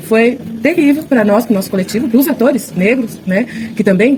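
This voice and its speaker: Amid noticeable background noise, a woman talks at a moderate pace with ordinary pitch variation. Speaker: actress and theatre director. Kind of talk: interview. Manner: halting, many fillers and restarts.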